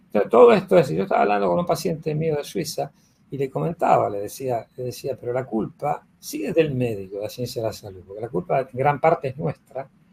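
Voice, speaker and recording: A man talks at a fairly quick pace and a medium pitch, with vocal fry. His pitch swings very widely and his loudness rises and falls sharply. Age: 70s. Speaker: physician and teacher of a health school. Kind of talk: conversational interview. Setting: live recorded online session.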